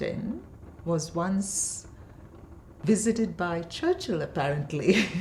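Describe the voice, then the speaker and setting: Very slowly, a woman speaks at a fairly low pitch. Noticeable background noise can be heard. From India, Bangalore (born in Kerala). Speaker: poet and professor. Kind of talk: interview conversation. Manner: hesitant, many fillers.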